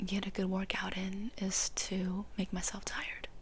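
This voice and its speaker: A woman is whispering. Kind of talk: ASMR whisper ramble. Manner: whispered.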